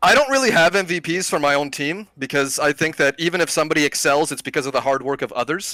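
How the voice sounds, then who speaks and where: A man speaks loudly at a very fast pace with hardly any pauses, in a bright, sharp tone at a fairly high pitch with ordinary pitch variation and a dry, close sound with no echo. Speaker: esports player. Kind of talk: post-match interview.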